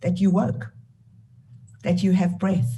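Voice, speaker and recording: A woman with a South African accent and very wide swings in pitch. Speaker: charity founder and CEO. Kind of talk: keynote talk. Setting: video call.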